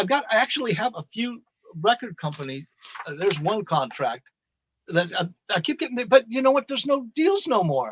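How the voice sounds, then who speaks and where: Fairly quick delivery, very wide pitch swings, and a dry, close sound with no echo. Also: man, high pitch for a man. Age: 60s. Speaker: rock guitarist. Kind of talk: casual interview chat.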